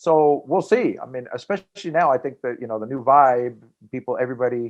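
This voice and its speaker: A man talks at a fairly quick pace. His pitch is medium, with ordinary pitch variation. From Los Angeles, US West Coast. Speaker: stand-up comedian. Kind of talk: casual interview chat. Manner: fast.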